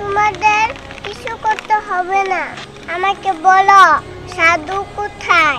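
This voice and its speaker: A cartoonish character voice, female-sounding and extremely high-pitched, at a very slow pace over clear background noise. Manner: curt, commanding.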